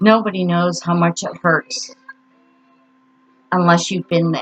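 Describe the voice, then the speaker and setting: Music in the background behind a woman at medium pitch and a fairly slow pace, with a dry, close sound and no echo. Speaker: grief vlogger. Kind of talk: personal vlog monologue. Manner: halting, stuttering.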